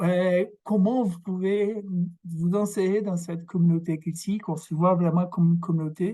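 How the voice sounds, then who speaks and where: Against a quiet background, a man with a high pitch speaks in a dark, mellow tone with fairly even intonation. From Brazil. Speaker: academic researcher. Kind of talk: lecture. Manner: halting, many fillers and repetitions.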